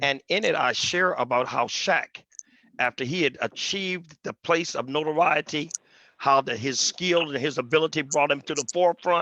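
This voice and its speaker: A man with a fairly high pitch and a bright, sharp tone, moderate pace and ordinary pitch variation, in a dry, close recording with no echo over a quiet background. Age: 60s. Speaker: pastor and author. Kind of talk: panel discussion on video call. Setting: video call.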